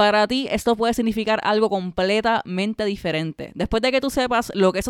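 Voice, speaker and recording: Speaking at a fairly quick pace, a woman with a fairly high pitch uses an animated tone and ordinary pitch variation, captured in a dry, close sound with no echo on a very clean recording with a silent background. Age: 30s. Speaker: podcast host, self-employed creative. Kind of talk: casual monologue.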